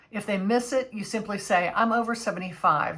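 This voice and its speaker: A woman's ordinary speaking voice at fairly high pitch with fairly even intonation. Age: 60s. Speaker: travel vlogger. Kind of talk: tutorial.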